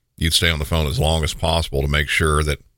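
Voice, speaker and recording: Speaking at a very fast pace, a man with a very deep, low pitch uses a bright, sharp tone, vocal fry, and monotone, flat intonation. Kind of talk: scripted narration of true crime. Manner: formal, steady, matter-of-fact.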